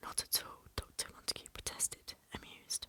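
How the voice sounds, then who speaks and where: A woman whispers at a moderate pace. Noticeable background noise runs underneath. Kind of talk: soft-spoken ASMR audiobook reading. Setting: home recording for relaxation and sleep. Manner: soft-spoken, whispery, relaxing.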